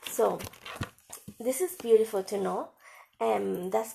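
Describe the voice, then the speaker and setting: Moderately paced speech from a woman over noticeable background noise. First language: Spanish. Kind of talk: devotional talk with reading aloud. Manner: halting.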